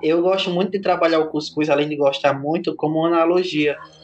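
Over noticeable background noise, a man talks fairly quickly at a fairly high pitch in a monotone, flat delivery. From Brazil, Rio Grande do Norte interior (Seridó). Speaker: digital content creator and entrepreneur. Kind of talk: podcast interview.

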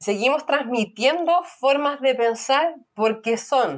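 Her pitch is high. The woman talks at a fairly slow pace with ordinary pitch variation. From Chile. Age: 30s. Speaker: podcast guest. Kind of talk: casual chat.

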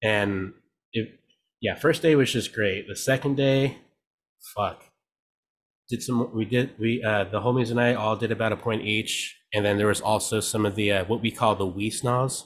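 A man speaks at a moderate pace and medium pitch, with fairly even intonation and long, frequent pauses. The recording is very clean, with a silent background. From California, Mexican-American family. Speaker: DJ and producer. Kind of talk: casual chat.

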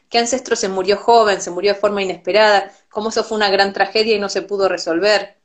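A woman with an Argentine accent, medium in pitch, flat and monotone, very fast with hardly any pauses. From Argentina. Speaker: Ayurveda teacher and physician. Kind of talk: interview. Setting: Instagram live video call.

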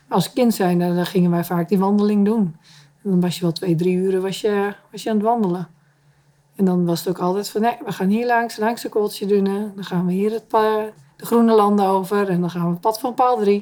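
A woman talks at a fairly quick pace in an ordinary speaking voice, with a medium pitch and fairly even intonation. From Terschelling, Netherlands. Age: 40s. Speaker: island resident. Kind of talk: interview.

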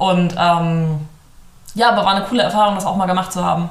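Amid noticeable background noise and audible room echo, a woman with a fairly low pitch talks at a very fast pace. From northern Germany, Hamburg area. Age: 20s. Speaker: law student. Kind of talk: casual interview chat.

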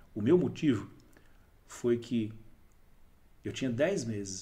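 With audible room echo, a man talks at a medium pitch in a dark, mellow, somewhat breathy tone with lively intonation. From Brazil, Diadema (São Paulo). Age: 40s. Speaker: entrepreneur, NGO founder. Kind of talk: casual interview. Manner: animated.

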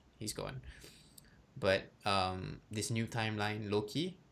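Recorded very cleanly over a silent background, a man speaks at a medium pitch with ordinary pitch variation and vocal fry. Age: 20s. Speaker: podcast host. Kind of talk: casual chat.

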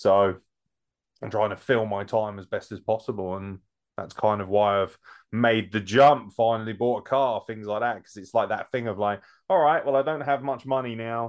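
Speaking with a British accent at a moderate pace, a man uses a fairly low pitch with ordinary pitch variation. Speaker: podcast host. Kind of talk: casual chat.

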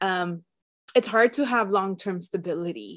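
A woman speaks at a fairly slow pace with medium pitch against a quiet background. It is an ordinary speaking voice. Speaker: entrepreneur and eating disorder advocate. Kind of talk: casual interview conversation.

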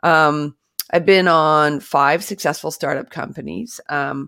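A woman with a Canadian accent and a very deep, low pitch talks at a moderate pace with ordinary pitch variation, in a very clean recording with a silent background and a dry, close sound with no echo. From British Columbia, Canada. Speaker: tech startup founder and CEO. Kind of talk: interview.

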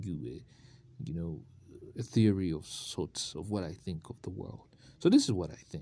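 This man's voice has a very deep, low pitch and a dark, mellow tone. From Uganda. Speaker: podcaster. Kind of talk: solo motivational monologue. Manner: casual, conversational.

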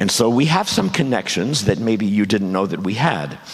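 A man with a fairly low voice at a fairly quick pace, amid noticeable background noise and audible room echo. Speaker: guest preacher. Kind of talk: sermon. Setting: church.

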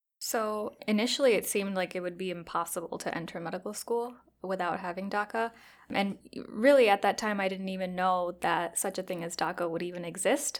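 On a very clean recording with a silent background, a woman with a Chicago accent talks at a fairly quick pace and medium pitch with ordinary pitch variation. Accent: Chicago American. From Chicago, US. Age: 20s. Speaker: psychiatry resident. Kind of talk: interview.

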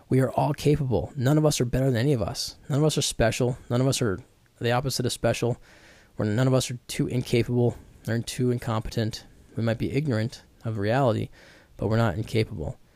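A man talks at a very fast pace and a medium pitch. His tone is dark and mellow. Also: ordinary pitch variation. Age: 30s. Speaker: podcast host on addiction recovery. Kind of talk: solo podcast monologue. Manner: halting, with fillers and restarts.

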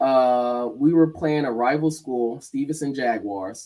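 This man has an American accent and an ordinary speaking voice at medium pitch. He talks at a fairly slow pace with ordinary pitch variation. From Atlanta, Georgia (Decatur), US South. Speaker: former college football player. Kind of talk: casual interview chat. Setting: live-streamed video podcast.

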